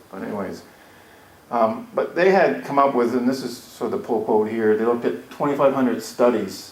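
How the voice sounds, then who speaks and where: With lively intonation and a medium pitch, a man talks at a very fast pace amid noticeable background noise and audible room echo. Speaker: educational analyst presenting a workshop. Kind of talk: conference workshop presentation. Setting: conference room with audience. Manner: casual, with fillers and false starts.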